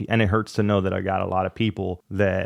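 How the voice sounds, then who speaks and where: Speaking at a fairly quick pace, a man with a Spanish accent holds a fairly low pitch in monotone, flat intonation. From Miami, Florida (Cuban-American). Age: 30s. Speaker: YouTuber. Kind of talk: personal vlog monologue. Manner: halting, reflective.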